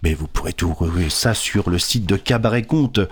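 A man speaks in a somewhat breathy voice. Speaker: storyteller. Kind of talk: casual radio chat and storytelling. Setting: radio studio.

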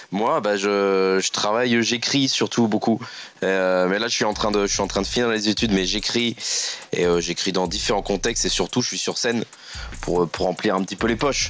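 A man's fairly low voice at a moderate pace, fairly even intonation, and noticeable background noise. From northern France (Picardy). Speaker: humor columnist. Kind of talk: comedic radio chronicle.

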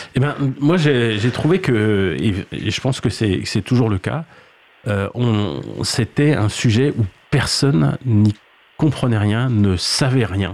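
Leaving long, frequent pauses, a man at a medium pitch speaks at a very slow pace with lively intonation. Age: 50s. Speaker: head of sustainability at a cloud company. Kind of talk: radio panel discussion. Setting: radio studio.

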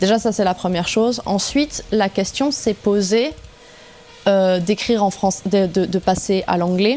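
With music in the background, a woman talks at a fairly slow pace and a medium pitch, keeping a very even loudness and ordinary pitch variation. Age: 30s. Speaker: metal singer. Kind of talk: radio interview.

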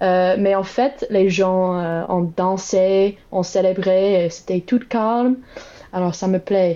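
Speaking very slowly with fairly even intonation, a woman with an English accent has a dark, mellow tone over a quiet background. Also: medium pitch for a woman. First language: English (speaking French). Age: 20s. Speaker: Biden voter interviewed. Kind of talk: interview. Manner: halting.

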